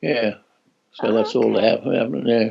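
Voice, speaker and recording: This man's voice sits at a medium pitch. His intonation is fairly even. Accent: Australian. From Australia. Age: 80s+. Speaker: former Olympic athlete. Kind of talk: interview answer. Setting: video call.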